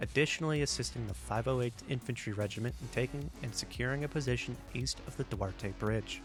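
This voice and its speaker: The speech moves at a fairly quick pace with hardly any pauses. Music plays in the background. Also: man. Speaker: aviation history narrator. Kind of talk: documentary voiceover narration.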